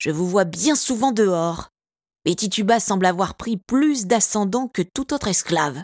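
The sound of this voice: An unforced reading voice carries lively intonation. Behind it, the background is quiet.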